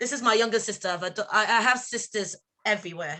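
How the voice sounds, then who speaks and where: In a Nigerian accent, the voice has a bright, sharp tone against a quiet background. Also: woman. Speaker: community event presenter. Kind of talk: live event introduction.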